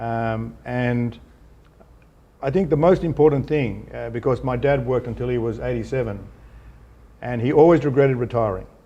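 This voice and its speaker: A man's medium-pitched, dark, mellow voice at a moderate pace, with ordinary pitch variation and long, frequent pauses. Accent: Australian. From Australia. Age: 60s. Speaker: businessman and philanthropist. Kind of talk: interview. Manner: hesitant, repetitive fillers.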